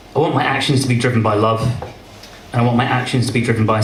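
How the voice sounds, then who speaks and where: Against noticeable background noise, a man with a medium pitch talks very fast in a monotone, flat way. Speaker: spoken word poet. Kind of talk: spoken word poetry performance. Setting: live open mic event.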